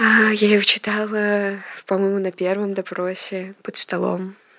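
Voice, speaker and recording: A woman at a very slow pace, dry, close sound with no echo. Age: 20s. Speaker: student journalist under house arrest. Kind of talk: audio diary. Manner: hesitant, many fillers.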